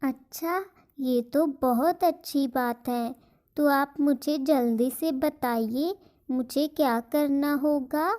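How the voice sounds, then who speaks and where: A woman uses a cartoonish character voice at a high pitch. She speaks at a very slow pace. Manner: sweet, eager.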